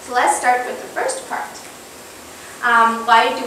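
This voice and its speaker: A woman talks at a high pitch, with audible room echo. Light background noise runs underneath. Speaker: candidate. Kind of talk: lecture. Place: classroom.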